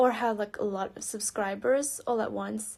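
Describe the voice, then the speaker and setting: A woman speaks on a very clean recording. The background is silent. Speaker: youtuber. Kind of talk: reading aloud. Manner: halting.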